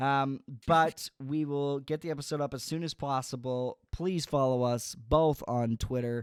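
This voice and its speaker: In a very clean recording with a silent background and a dry, close sound with no echo, a man with a Canadian accent speaks at a fairly high pitch with ordinary pitch variation. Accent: sounds Canadian. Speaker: podcast host. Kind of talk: casual chat.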